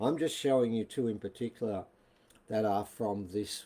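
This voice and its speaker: A man speaks in an Australian accent at a fairly low pitch, his tone dark and mellow with ordinary pitch variation. The recording is very clean, with a silent background. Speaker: author and alternative history presenter. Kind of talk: casual video talk. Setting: live video stream.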